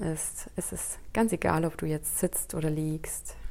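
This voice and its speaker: A woman speaks at a fairly slow pace and fairly low pitch. Her tone is soothing, dark and mellow. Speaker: meditation guide. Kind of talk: guided meditation, calm spoken instructions to a single listener. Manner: slow, soft-spoken, soothing, with long pauses; gentle and inviting, addressing listener as "du".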